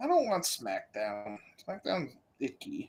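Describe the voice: At a fairly slow pace, a man puts on a whiny character voice.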